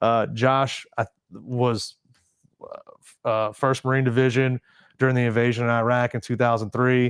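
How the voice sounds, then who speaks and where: With an American accent, a man speaks at a medium pitch and moderate pace in a monotone, flat intonation, with big swings in loudness, in a very clean, dry, close recording with no echo and a silent background. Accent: Southern accent, toned down. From US South, Mississippi Gulf Coast. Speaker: Marine veteran and charity founder. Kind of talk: casual interview chat. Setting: studio, livestream podcast.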